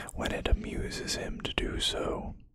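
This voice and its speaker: Whispering, the voice carries a dramatic, theatrical tone. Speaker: ASMR video creator. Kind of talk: ASMR lore narration, reading aloud. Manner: dramatic, slow and hushed, theatrical reading of grim lore. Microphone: studio mic.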